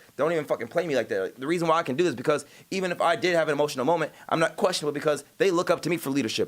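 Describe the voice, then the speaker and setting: Talking very fast with hardly any pauses, a man uses an animated tone, a fairly high pitch and ordinary pitch variation. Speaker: live streamer. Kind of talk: casual livestream chat.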